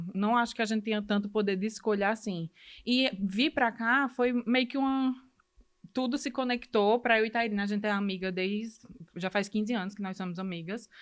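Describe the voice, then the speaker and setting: The speaker keeps a moderate pace. Pitch varies by an ordinary amount. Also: woman, fairly high pitch for a woman. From Brazil, Ceará. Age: 30s. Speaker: medical student. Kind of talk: podcast interview, personal story.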